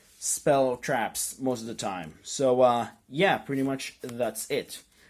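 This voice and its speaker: This man's voice sits fairly high in pitch. The recording is very clean and the background silent. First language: not English. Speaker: YouTuber, card game deck profiler. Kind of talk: casual tutorial. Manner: hesitant, many fillers.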